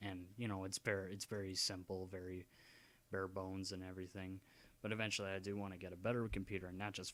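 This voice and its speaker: Very deep, low male speech delivered at a fairly quick pace. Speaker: gaming YouTuber. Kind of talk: casual vlog ramble. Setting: home at night, dad sleeping. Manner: soft-spoken; halting.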